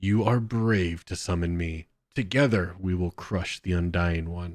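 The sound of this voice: A man uses a put-on character voice, very deep, low and rumbling. He keeps a moderate pace on a very clean recording with a silent background.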